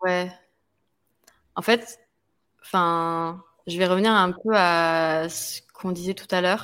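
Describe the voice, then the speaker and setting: In a very clean recording with a silent background, a woman's fairly low voice moves with fairly even intonation. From French island overseas territory. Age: 20s. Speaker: fitness coach and content creator. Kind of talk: interview conversation. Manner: hesitant, many fillers.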